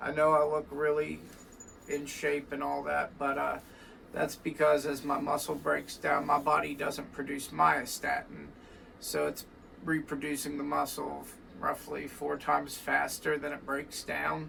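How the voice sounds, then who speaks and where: Noticeable noise sits behind speech that unfolds at a fairly slow pace. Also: man. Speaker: record shop owner and guitar teacher. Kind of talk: casual vlog monologue. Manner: hesitant, many fillers.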